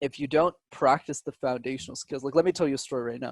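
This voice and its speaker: In a dry, close recording with no echo, a man talks at a fairly quick pace. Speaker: public speaking coach. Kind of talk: interview. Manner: dramatic pauses.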